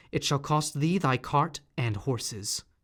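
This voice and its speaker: With a normal speaking voice and lively intonation, a man talks at a fairly high pitch. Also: very clean recording, silent background. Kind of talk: audiobook reading.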